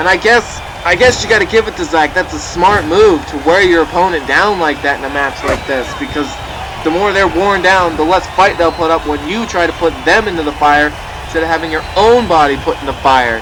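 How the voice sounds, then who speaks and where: An energetic, high-pitched male voice against noticeable background noise. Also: ordinary pitch variation, fairly quick pace. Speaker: video game commentator. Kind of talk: wrestling match commentary. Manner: energetic, fast play-by-play.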